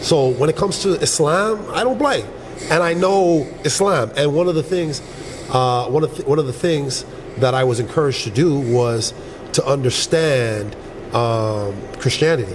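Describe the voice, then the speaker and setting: Lively intonation marks a man's fairly high voice as he talks at a moderate pace, with noticeable background noise and audible room echo. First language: Yoruba. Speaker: reality dating show contestant. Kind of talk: casual chat.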